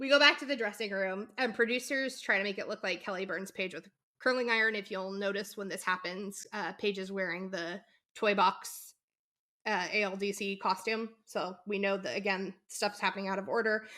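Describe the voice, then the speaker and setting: A woman shouts at a moderate pace with a medium pitch and ordinary pitch variation. Her tone is bright and sharp, on a very clean recording with a silent background. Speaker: podcast co-host. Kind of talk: casual chat. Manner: can sound like yelling.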